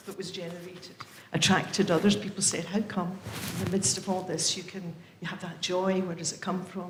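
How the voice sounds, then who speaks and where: A woman of medium pitch in an English accent, with audible room echo and noticeable background noise. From England. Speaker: member of a religious community. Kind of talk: casual talk at a book launch. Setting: event with live audience, livestreamed.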